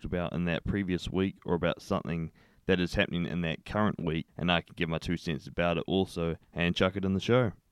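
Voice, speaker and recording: On a very clean recording with a silent background and a dry, close sound with no echo, a man races along at a very fast pace in a New Zealand accent, his very deep, low pitch held in fairly even intonation. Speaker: podcast host. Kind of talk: casual solo monologue.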